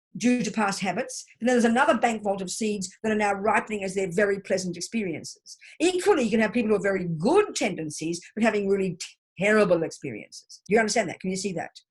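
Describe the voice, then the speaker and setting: Very fast delivery with ordinary pitch variation. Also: woman, medium pitch for a woman. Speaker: Buddhist teacher. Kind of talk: teaching session. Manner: loud.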